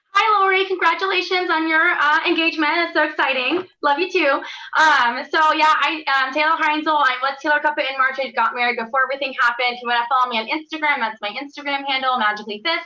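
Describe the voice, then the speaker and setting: A raised, projected voice with a bright, sharp tone rushes along at a very fast pace. It has ordinary pitch variation and hardly any pauses. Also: woman, high pitch for a woman. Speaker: fifth grade teacher. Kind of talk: panel presentation.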